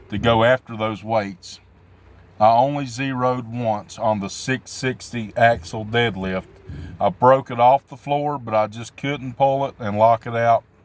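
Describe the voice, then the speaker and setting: With a Southern US accent, the speaker goes at a fairly slow pace and keeps the intonation fairly even. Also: man. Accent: southern drawl. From southwestern Virginia, Appalachia. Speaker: amateur strongman athlete. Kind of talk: casual vlog talk. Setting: at work.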